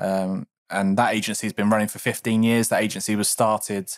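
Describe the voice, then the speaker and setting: This man has a normal speaking voice with a fairly low pitch. He keeps to a moderate pace. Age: 30s. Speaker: podcast co-host, creative director. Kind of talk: casual chat. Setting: video call.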